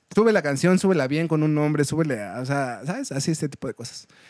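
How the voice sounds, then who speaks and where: With a Mexican accent, a man talks at a moderate pace, recorded dry with no echo over a quiet background. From Mexico. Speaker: folk punk musician; podcast guest. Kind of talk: casual chat. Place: studio.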